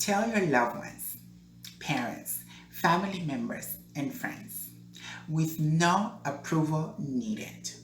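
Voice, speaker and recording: With very wide pitch swings at a very slow pace, the speech comes through noticeable background noise and audible room echo. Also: woman, very deep, low pitch for a woman. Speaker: entertainer and pageant owner. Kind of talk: advice monologue to camera. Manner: earnest, encouraging.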